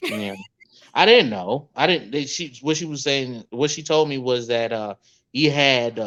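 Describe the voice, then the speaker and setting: An ordinary speaking voice, this man has a medium pitch and lively intonation. He talks at a fairly slow pace. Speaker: comedian and podcaster. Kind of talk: casual chat.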